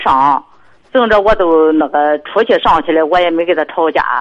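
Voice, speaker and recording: A woman speaks at a fairly slow pace. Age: 60s. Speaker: caller, grandmother. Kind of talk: phone call-in. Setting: phone call. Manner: halting.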